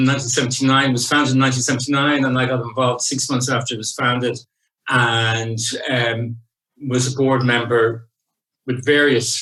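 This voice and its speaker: With an Irish accent, a man speaks at a moderate pace in a bright, sharp, medium-pitched monotone. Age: 60s. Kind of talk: interview.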